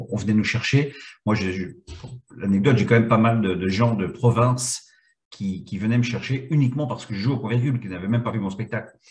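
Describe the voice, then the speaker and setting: This man speaks at a fairly quick pace in a Belgian accent, his medium-pitched voice somewhat breathy. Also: ordinary pitch variation. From Belgium, Brussels. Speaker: comedian. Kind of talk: interview.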